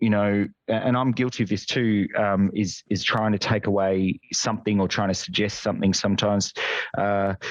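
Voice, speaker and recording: A man with an Australian accent at a fairly low pitch and moderate pace, monotone and flat in intonation, with very even loudness. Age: 30s. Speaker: nurse and nursing lecturer. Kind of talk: casual chat.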